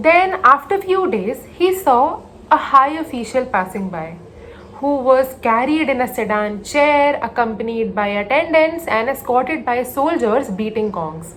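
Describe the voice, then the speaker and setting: A woman's high-pitched voice with an Indian accent, very wide pitch swings and a fairly slow pace, over noticeable background noise. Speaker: storyteller. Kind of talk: motivational story narration, mixing English and Hindi.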